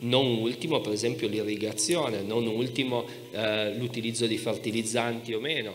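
Faint music plays in the background as a man speaks with fairly even intonation. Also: moderate pace. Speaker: historian; speaker. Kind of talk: panel debate. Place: stage. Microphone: handheld.

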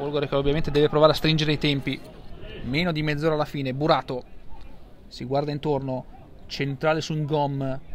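With light background noise behind him, a man speaks in a fairly high pitch, leaving long, frequent pauses. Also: dry sound with no echo. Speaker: football commentator. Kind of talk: live sports commentary of a match. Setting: stadium, commentating from the ground. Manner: fast, breathless, excitable play-by-play; rising intensity at goals and penalties. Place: stadium.

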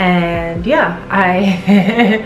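Music plays clearly behind a woman as she talks. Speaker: vlogger. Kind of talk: casual vlog chat. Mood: reflective, a bit bittersweet. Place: home room.

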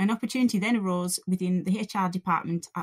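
The speaker, with a Cumbrian accent, sounds somewhat breathy at a fairly quick pace. The sound is dry and close, with no echo. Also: woman. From Cumbria, northern England. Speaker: college lecturer. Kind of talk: scripted narration.

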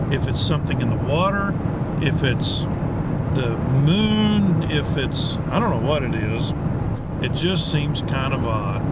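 A man talks very slowly in a dry sound with no echo, with loud noise behind him. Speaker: driver vlogger. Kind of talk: casual vlog chat. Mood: mildly irritated, wry. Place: car. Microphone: phone near.

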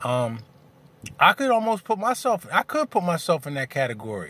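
At a moderate pace, a man speaks with very wide pitch swings, the sound dry with no echo. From US. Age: 40s. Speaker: video blogger. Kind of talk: angry rant. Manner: fired-up, indignant, blunt and confrontational. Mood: opinionated, candid. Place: car. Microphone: phone near.

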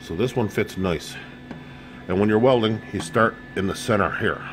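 Noticeable background noise behind a man, his moderate pace and ordinary pitch variation. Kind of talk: tutorial. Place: garage. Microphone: phone near.

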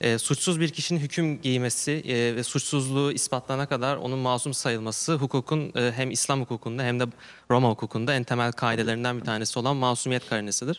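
A normal speaking voice from a man, medium in pitch, fairly quick, with ordinary pitch variation. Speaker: university student; questioner. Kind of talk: audience question. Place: studio. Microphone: handheld.

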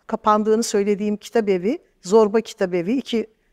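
The background stays quiet while a woman talks. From eastern Turkey, Erzincan; Turkey. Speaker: translator and storyteller; bookseller, storyteller. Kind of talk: interview. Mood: critical, earnest. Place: studio. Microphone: lapel.

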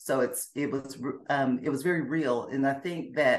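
In an American accent, a woman with a very deep, low voice speaks at a moderate pace with fairly even intonation. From US South, Alabama and Georgia. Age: 50s. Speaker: former Jehovah's Witness. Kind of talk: interview, personal testimony. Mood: reflective, earnest. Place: home room. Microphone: video call.

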